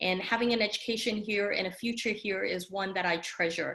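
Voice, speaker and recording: This woman has a Korean accent and a fairly high pitch. Her pitch variation is ordinary. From South Korea, raised in US from early 1970s. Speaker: judge and judicial candidate. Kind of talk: campaign speech at online legal seminar. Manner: many filler ums.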